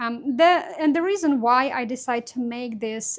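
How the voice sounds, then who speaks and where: Speaking at a moderate pace with a non-native accent, a woman uses a high pitch and ordinary pitch variation. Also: very clean recording, silent background. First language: not English. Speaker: crafts YouTuber. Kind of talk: casual vlog talk to camera. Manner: halting, many fillers.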